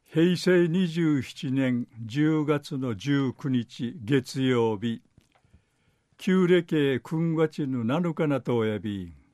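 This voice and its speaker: In a dry, close sound with no echo, a man speaks very slowly at a fairly high pitch, his tone dark and mellow and his intonation lively. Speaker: dialect news reader. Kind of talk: news reading.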